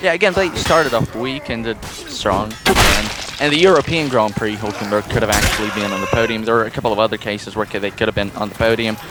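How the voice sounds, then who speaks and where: Music plays in the background as a man talks very fast with hardly any pauses. His pitch is medium and his intonation is lively. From Russia. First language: Russian. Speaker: podcast co-host. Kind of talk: casual chat.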